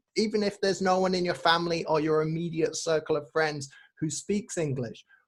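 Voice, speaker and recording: With ordinary pitch variation, a man talks in a high-pitched voice. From northern England, Manchester. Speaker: English teacher. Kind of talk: casual chat. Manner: slow.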